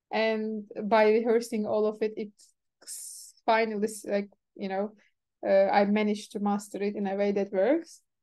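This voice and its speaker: With a Turkish accent, a woman speaks at a moderate pace in a fairly high voice with a dark, mellow tone, fairly even intonation and long, frequent pauses against a quiet background. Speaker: event organizer and software developer. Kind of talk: casual chat.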